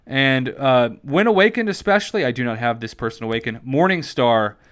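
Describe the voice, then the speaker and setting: Medium-pitched male voice with lively intonation, on a very clean recording with a silent background. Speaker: gaming YouTuber. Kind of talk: gaming tutorial. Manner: fast.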